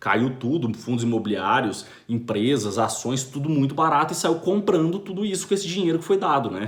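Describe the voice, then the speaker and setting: A man with a Brazilian accent speaks in a fairly high pitch with hardly any pauses. His pitch swings very widely. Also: fairly quick pace. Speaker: finance commentator. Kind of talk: video monologue commentary. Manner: fast.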